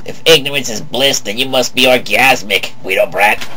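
A cartoonish character voice at a moderate pace amid clear background noise. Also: man, medium pitch for a man. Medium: puppet. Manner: sarcastic, wisecracking.

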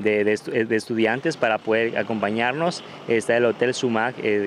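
Over light background noise, a man talks at a moderate pace with fairly even intonation and a dry sound with no echo. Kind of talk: interview answer. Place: street. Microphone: handheld.

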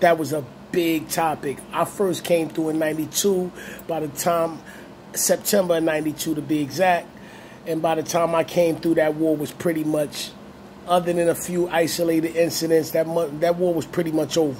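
A man with an American accent speaks at a moderate pace in a fairly high voice. His intonation stays monotone and flat over light background noise. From Brooklyn, New York (Brownsville); Brooklyn, New York. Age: 40s. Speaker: YouTube channel host. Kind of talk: monologue video commentary. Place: home room. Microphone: phone near.

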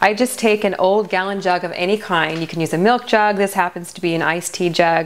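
A woman at a moderate pace over faint background noise.

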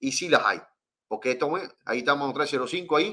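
A man's fairly high-pitched, animated voice in a quiet background. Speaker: fishing channel host. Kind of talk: live stream chat. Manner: fast. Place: home room.

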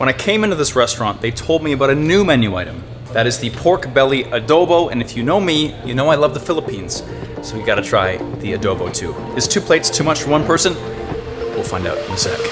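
A man talks very fast as clear music plays in the background. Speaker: travel vlogger. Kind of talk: casual vlog chat. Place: cafe. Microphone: phone near.

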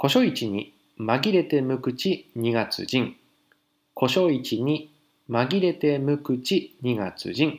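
Speaking at a very slow pace, a man uses lively intonation in a fairly high voice. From Japan, Fukushima. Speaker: haiku poet, parent living in Paris. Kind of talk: casual monologue segment.

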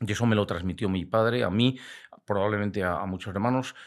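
The speech runs at a fairly quick pace with ordinary pitch variation. The background is quiet. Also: man. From Spain, Valladolid (Castile); Castile, Spain. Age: 60s. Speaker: biologist and hunting media veteran; podcast guest. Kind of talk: casual interview chat. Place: studio. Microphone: studio mic.

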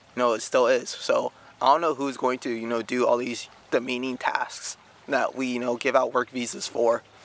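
A fairly quick pace, a dry, close sound with no echo, and noticeable background noise. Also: man. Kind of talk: casual opinion talk to camera. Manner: casual, filler-heavy.

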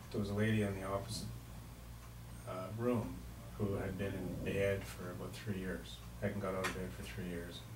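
Noticeable background noise sits behind a man with a very deep, low voice. He makes very wide pitch swings and leaves long, frequent pauses. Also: moderate pace. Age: 60s. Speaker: community radio host. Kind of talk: radio interview. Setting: radio studio. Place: studio.

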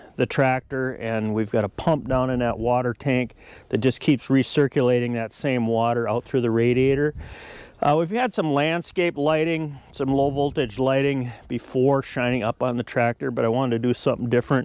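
A man at a moderate pace, with fairly even intonation and a dry sound with no echo. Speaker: farm owner vlogger. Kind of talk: casual vlog chat. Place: farm machine.

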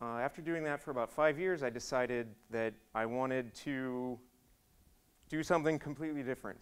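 The speaker is a man with ordinary pitch variation. He moves at a fairly quick pace. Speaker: conference speaker. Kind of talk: conference talk. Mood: relaxed, joking. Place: hall. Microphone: podium.

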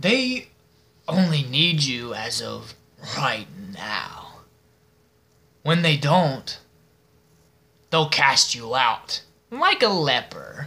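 A man puts on a character voice with a fairly high pitch and a menacing tone. He speaks at a very slow pace with long, frequent pauses. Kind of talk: film monologue audition. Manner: mocking, menacing, slow and deliberate.

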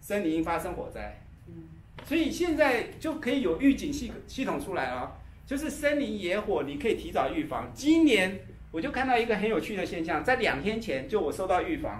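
A man at a moderate pace, with audible echo from the room. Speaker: class teacher. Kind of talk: lecture. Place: meeting room.

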